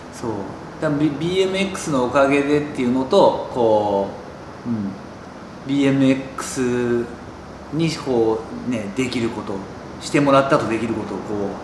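A man in a relaxed tone at a very slow pace, with long, frequent pauses, ordinary pitch variation and noticeable background noise. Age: 40s. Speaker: professional BMX rider. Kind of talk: interview. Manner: casual, relaxed. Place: shop.

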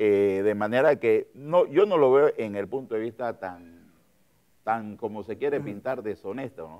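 A man speaks fairly slowly at a medium pitch with a dark, mellow tone and ordinary pitch variation. His loudness swings widely against a quiet background. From Panama. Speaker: politician and physician; politician. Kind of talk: political interview. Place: studio. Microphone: lapel.

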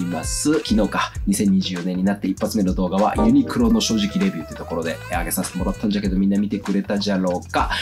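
Against light background noise, a man talks at a very fast pace. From Okayama, Japan. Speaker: fashion industry worker. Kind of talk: casual talk to camera. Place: home room.

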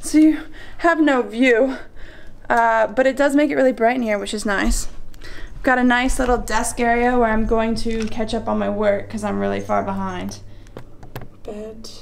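Long, frequent pauses interrupt a woman who otherwise talks at a moderate pace. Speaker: travel vlogger. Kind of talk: casual vlog chat. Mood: excited, amused. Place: home room. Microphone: phone near.

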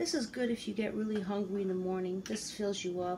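Woman at a fairly quick pace over loud background noise. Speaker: ASMR creator. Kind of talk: casual talk to camera. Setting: home kitchen. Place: kitchen. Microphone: phone near.

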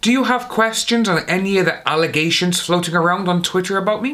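At a moderate pace, a man speaks with a high pitch and a bright, sharp tone.

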